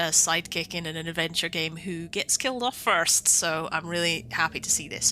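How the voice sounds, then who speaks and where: Spoken in a Scottish accent at a moderate pace, the voice has ordinary pitch variation. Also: woman. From Scotland. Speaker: gaming video creator. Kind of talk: let's play commentary. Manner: casual, hesitant with many fillers.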